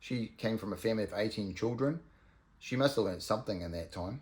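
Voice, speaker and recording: A man with a New Zealand accent and ordinary pitch variation. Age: 50s. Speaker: vlogger. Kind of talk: casual monologue. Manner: halting, many ums and ahs.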